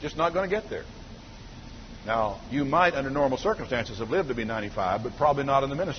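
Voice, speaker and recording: With audible room echo, a man at a fairly high pitch talks very fast, his intonation lively. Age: 50s. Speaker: pastor. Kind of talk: sermon.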